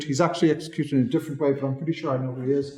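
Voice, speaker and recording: A man's fairly high-pitched voice with fairly even intonation, audible room echo and noticeable background noise. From southwest Ireland. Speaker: legal history lecturer. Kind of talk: lecture.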